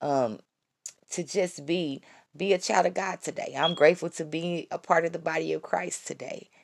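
With an animated tone and vocal fry, a woman talks at a moderate pace. Her pitch variation is ordinary. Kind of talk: devotional talk.

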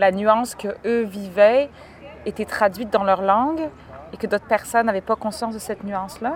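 A woman's fairly high voice, with normal rise and fall, moves at a middling speed through clearly audible background noise. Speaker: podcast host. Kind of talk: casual chat. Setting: outdoors in a park.

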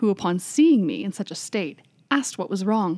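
An ordinary speaking voice from a woman at medium pitch. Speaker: library podcast host. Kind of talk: reading aloud a first-person ghost story, told in the narrator's words.

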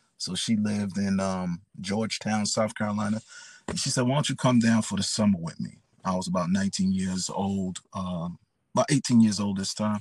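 With a New York accent, the speaker talks at a moderate pace with fairly even intonation. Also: man, fairly low pitch for a man. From New York City, the Bronx. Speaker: pastor. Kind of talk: testimony.

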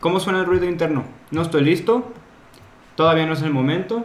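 Audible room echo surrounds a man's high voice, delivered with a Mexican accent. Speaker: podcast co-host, entrepreneur. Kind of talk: casual chat.

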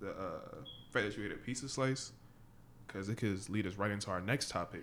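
The speech moves at a moderate pace, broken by long, frequent pauses, with ordinary pitch variation. Audible room echo surrounds it. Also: man. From Caribbean. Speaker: podcast co-host. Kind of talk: casual chat.

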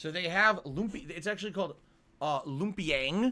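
A man with a high pitch and a bright, sharp tone speaks animatedly at a moderate pace with ordinary pitch variation. The recording is very clean, with a silent background. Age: 30s. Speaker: live streamer. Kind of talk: casual live stream chat.

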